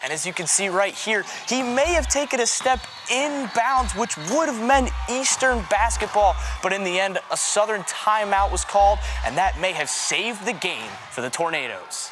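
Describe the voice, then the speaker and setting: A man speaks at a moderate pace in a high pitch, his intonation lively and his tone energetic and upbeat. Noticeable background noise can be heard. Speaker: sports broadcaster, on-air journalist. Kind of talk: local sports news anchor segment. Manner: energetic, upbeat.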